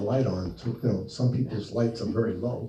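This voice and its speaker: With a New Jersey accent, a man speaks at a fairly quick pace and with lively intonation. The room echo is audible and the background noise is noticeable. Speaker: author and speaker. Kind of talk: talk with audience Q&A. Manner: animated.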